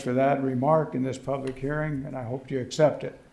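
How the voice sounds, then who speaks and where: Medium-pitched and monotone, a man speaks at a fairly quick pace with flat intonation. Audible room echo and noticeable background noise fill the recording. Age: 80s+. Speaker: resident speaking at public hearing. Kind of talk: public comment at government hearing. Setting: county board meeting room. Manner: halting, many fillers.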